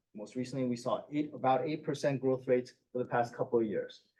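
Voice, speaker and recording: A man's dark, mellow tone. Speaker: financial advisor. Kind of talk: presentation to school board. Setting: public board meeting. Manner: fast.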